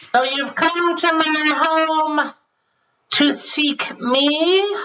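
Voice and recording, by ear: A high-pitched, put-on character voice drawls out its words at a very slow pace.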